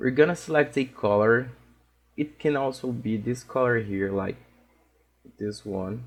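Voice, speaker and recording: Speaking with a Portuguese accent at a fairly slow pace, the voice shows ordinary pitch variation and long, frequent pauses. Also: man, medium pitch for a man. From Brazil. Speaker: digital art instructor. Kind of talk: tutorial. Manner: halting, with frequent fillers.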